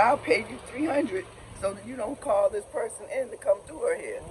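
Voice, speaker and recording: A man speaks at a fairly quick pace in an animated tone, with big swings in loudness. Noticeable background noise sits behind him. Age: 60s. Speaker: expat visitor. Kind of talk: casual chat.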